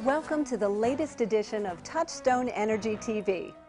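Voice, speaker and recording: Over music in the background, a woman with a fairly high pitch speaks in a serious tone with lively intonation. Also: moderate pace. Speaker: television host, presenter and voiceover talent. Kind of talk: documentary-style factual narration. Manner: serious, measured.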